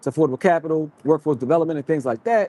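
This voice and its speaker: A man with an American accent and a dark, mellow tone, ordinary pitch variation, and a dry, close sound with no echo. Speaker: livestream host. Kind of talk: live stream chat. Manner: fast.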